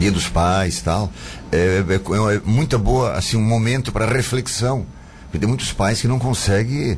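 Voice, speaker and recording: Noticeable background noise and audible room echo fill the recording. A man speaks at a moderate pace in a fairly low pitch with ordinary pitch variation. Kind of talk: radio interview.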